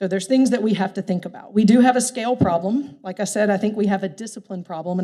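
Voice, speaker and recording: A woman's dark, mellow tone at a very fast pace, with ordinary pitch variation. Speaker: workforce development practitioner. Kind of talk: keynote speech. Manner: loud.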